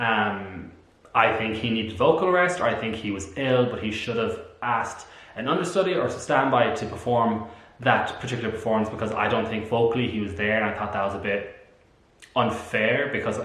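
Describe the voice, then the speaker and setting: The speaker talks at a fairly quick pace with an Irish accent and ordinary pitch variation. Room echo is audible and background noise is noticeable. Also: man. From Ireland. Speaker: musical theatre vlogger. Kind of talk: casual review vlog. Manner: animated.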